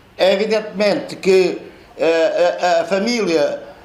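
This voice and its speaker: Audible room echo and noticeable background noise accompany speech delivered fairly slowly. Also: man. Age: 70s. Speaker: author and professor. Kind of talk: book launch talk. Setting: live audience at a book launch. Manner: halting, many repetitions and fillers.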